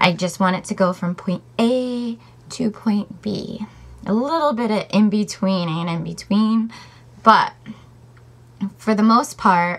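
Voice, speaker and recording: Taking long, frequent pauses, a woman speaks very slowly in a somewhat breathy voice with ordinary pitch variation. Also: fairly high pitch for a woman. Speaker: vlogger. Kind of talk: casual chat. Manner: animated.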